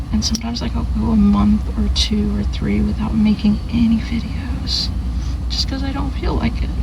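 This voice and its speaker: A soft-spoken woman whispers at a moderate pace. Noticeable background noise can be heard. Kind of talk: ASMR video, soft-spoken talk to camera. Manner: soft-spoken, whispering.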